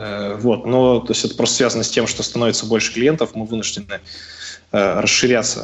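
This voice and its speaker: The pace is moderate. This is an ordinary speaking voice. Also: man. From Russia, Sverdlovsk Oblast (Novouralsk). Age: 20s. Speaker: CrossFit athlete. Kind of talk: casual interview. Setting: phone call.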